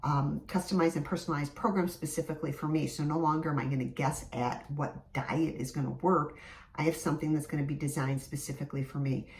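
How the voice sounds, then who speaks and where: Over noticeable background noise, a woman with an American accent speaks very fast in a very deep, low voice with fairly even intonation. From US Midwest, Michigan. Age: 50s. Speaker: fitness instructor. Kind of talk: casual vlog talk to camera.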